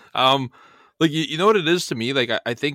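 This man talks at a very fast pace with a bright, sharp tone and ordinary pitch variation, the sound dry and close with no echo on a very clean recording with a silent background. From Bulgaria. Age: 30s. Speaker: trading educator. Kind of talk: casual chat.

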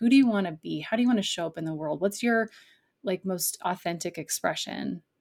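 This woman has a normal speaking voice at medium pitch with ordinary pitch variation. The sound is dry and close, with no echo. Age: young. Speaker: life coach for artists. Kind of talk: interview conversation.

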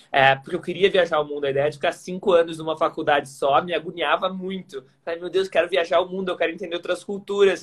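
A man's high-pitched voice at a very fast pace, with fairly even intonation and hardly any pauses. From southern Brazil, Porto Alegre. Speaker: workplace happiness expert, former tennis player. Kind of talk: casual interview chat. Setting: Instagram live, video call.

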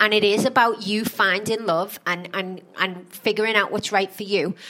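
A woman speaks at a moderate pace with a fairly high pitch in an unremarkable speaking voice. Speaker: podcast host. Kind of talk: casual chat reviewing a reality show.

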